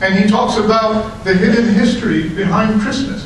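A man with a high pitch at a moderate pace, strong room echo, and light background noise. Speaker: preacher. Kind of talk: sermon. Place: hall.

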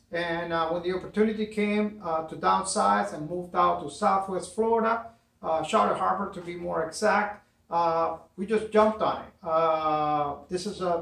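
Amid audible room echo, a man with a high pitch talks at a moderate pace, with big swings in loudness. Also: ordinary pitch variation. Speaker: DIY channel host. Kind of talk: casual vlog chat. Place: garage. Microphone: camera far.

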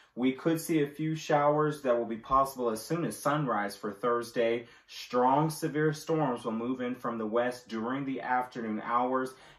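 A man talks at a moderate pace with hardly any pauses and fairly even intonation. Room echo is audible. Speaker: presenter. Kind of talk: weather forecast. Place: home room. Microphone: camera far.

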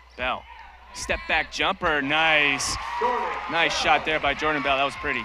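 Fairly slow, monotone speech with flat intonation and long, frequent pauses, over noticeable background noise. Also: man, fairly high pitch for a man. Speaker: basketball play-by-play announcer. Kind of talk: live sports commentary, play-by-play. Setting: arena broadcast in Las Vegas.

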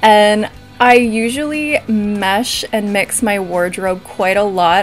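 A woman speaks with ordinary pitch variation over faint music in the background. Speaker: vlogger. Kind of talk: casual vlog chat. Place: home room. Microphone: phone near.

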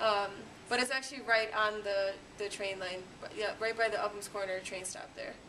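A woman with a normal speaking voice talks at a fairly high pitch and moderate pace with fairly even intonation, light background noise audible. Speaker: city government staffer; presenter. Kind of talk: class introduction. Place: classroom. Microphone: camera far.

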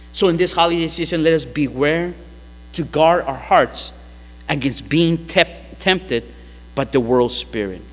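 A man speaks at a fairly slow pace, leaving long, frequent pauses. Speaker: pastor. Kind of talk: sermon. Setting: church. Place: church. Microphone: podium.

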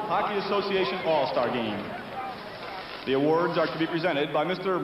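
Noticeable background noise sits behind a man with a high pitch. He talks at a fairly quick pace with ordinary pitch variation. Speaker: arena public address announcer. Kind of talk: formal player introductions over PA. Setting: PA system in hockey arena. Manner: formal, ceremonial.

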